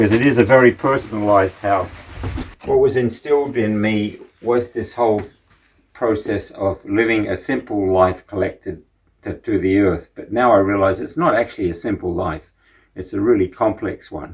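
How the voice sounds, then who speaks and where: In a very clean recording with a silent background, a somewhat breathy man speaks at a moderate pace in a fairly low pitch with ordinary pitch variation. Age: 70s. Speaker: potter and community member giving a home tour. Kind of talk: casual home tour. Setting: at home and in garden. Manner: halting, with many fillers.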